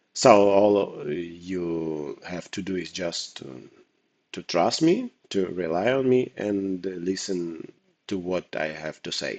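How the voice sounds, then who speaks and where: Very slowly and with ordinary pitch variation, a man talks in a very deep, low voice with a non-native accent. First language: not English. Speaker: poker coach. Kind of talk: tutorial. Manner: hesitant, with fillers.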